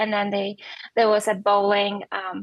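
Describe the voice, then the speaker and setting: A woman with a Polish accent, fairly high in pitch, at a fairly quick pace. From Poland. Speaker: professional bowler. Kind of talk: podcast interview.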